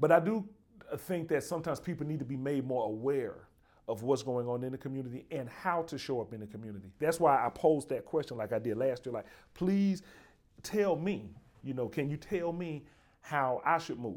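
Speech in a Southern US accent with lively intonation and a fairly quick pace. The recording is very clean, with a silent background. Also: man, fairly high pitch for a man. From Birmingham, Alabama. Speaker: podcast host, university dean. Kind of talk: casual interview.

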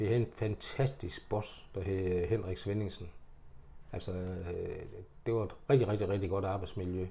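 A man's somewhat breathy, fairly low voice, dark and mellow in tone, at a fairly slow pace with fairly even intonation. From Denmark, Horsens. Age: 70s. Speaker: retired haulier. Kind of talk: life story interview. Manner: halting.

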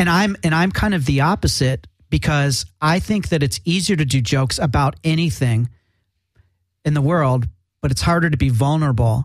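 Somewhat breathy and fairly high-pitched, a man speaks at a moderate pace with lively intonation and very even loudness. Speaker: radio host. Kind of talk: live radio interview. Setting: studio.

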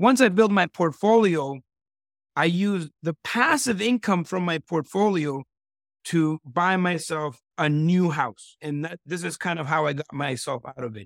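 A man speaks fairly slowly in a high, animated voice with lively intonation. The sound is dry and close, with no echo. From El Salvador. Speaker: real estate investor. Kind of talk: interview.

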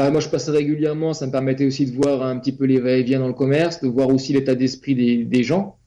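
This man's voice sits at a medium pitch. His intonation is monotone and flat. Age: 40s. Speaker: property investor, depot manager. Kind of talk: interview. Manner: hesitant, many fillers and repetitions.

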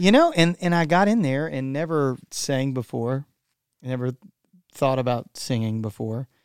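A man with a Texan accent talks at a moderate pace and medium pitch, with ordinary pitch variation. The sound is dry and close, with no echo. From Texas. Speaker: worship musician. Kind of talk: casual interview.

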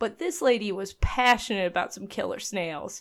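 The pace is moderate as a woman talks. Her voice swings through very wide pitch changes. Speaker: board game podcast co-host. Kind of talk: casual chat. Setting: Skype call. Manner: laughs often.

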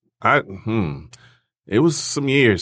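In a very clean recording with a silent background, a man speaks at a fairly slow pace with a bright, sharp tone and lively intonation. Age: 40s. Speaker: music network co-founder. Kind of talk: casual chat.

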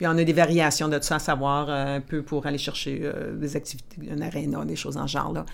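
Vocal fry runs through speech at a moderate pace with fairly even intonation. The recording is very clean, with a silent background. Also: woman. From northern Ontario, Timmins (Franco-Ontarian). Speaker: lawyer in mining sustainability. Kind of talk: interview, casual professional chat.

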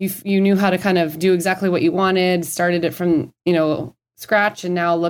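With an American accent, a woman speaks in an unremarkable speaking voice at medium pitch and a moderate pace, her intonation fairly even. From Minnesota. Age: 30s. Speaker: dietitian. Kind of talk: interview.

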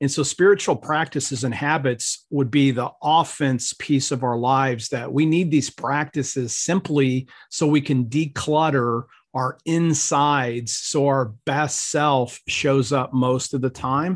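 In an unremarkable speaking voice, a man with an American accent speaks at a fairly slow pace with hardly any pauses, his pitch fairly high and his intonation fairly even, against a quiet background. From US Midwest, Ohio. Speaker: professor and minister. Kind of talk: interview conversation.

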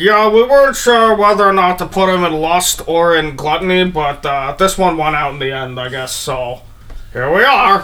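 At a moderate pace and a middle pitch, the speaker performs a put-on character voice. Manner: casual, offhand.

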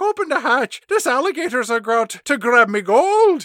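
Putting on a character voice with an Irish accent, a man talks at a moderate pace in an extremely high pitch. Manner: playful, exaggerated.

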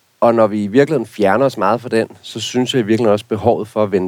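A man speaks with fairly low pitch. His intonation stays fairly even. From rural Denmark. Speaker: garden expert. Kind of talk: casual chat.

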